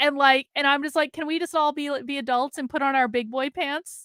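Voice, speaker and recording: Speech in a Vermont accent comes at a moderate pace, with a bright, sharp tone. The sound is dry and close with no echo, on a very clean recording with a silent background. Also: woman. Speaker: political commentator streamer. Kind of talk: casual live stream commentary. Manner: animated.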